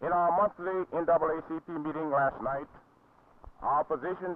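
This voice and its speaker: With an unremarkable speaking voice, a man talks at a moderate pace and a fairly high pitch, his intonation fairly even. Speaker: clergyman and civil rights leader. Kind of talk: prepared public statement for TV news. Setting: 1960 news film recording.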